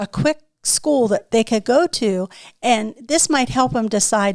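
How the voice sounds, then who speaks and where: The speaker has an unremarkable speaking voice with lively intonation. The pace is moderate and the sound is dry and close, with no echo. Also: woman. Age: 60s. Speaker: business owner. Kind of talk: casual chat.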